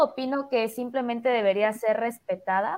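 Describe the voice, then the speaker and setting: A woman speaks at a fairly slow pace. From Mexico, Chiapas (Tuxtla Gutiérrez). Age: 20s. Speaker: marketer and entrepreneur. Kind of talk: casual chat.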